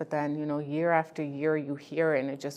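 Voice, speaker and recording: On a very clean recording with a silent background, a woman speaks at a moderate pace in a very deep, low pitch with monotone, flat intonation. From Ghana, raised in Canada. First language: not English. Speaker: immigrant woman artist participant. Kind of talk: personal testimony interview.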